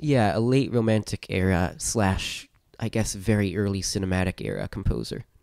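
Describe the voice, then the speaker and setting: A man's fairly low voice, a plain, everyday voice, at a moderate pace with ordinary pitch variation, in a very clean recording over a silent background. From US Northeast, New York. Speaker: podcast host and musician. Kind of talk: casual chat.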